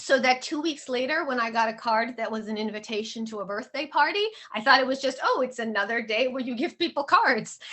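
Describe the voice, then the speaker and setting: A woman speaks in a high pitch with an American accent. Noticeable background noise is present. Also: ordinary pitch variation, fairly quick pace. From Odessa, then San Francisco, US. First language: Russian. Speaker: author. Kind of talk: workshop talk.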